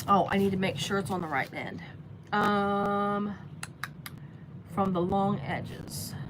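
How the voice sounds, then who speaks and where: A woman with an American accent speaks at a very slow pace and medium pitch, leaving long, frequent pauses, with audible room echo around her. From US Midwest, Cincinnati area. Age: 60s. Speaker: sewing livestreamer. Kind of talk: live sewing tutorial. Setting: basement, livestream. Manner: casual, halting with fillers.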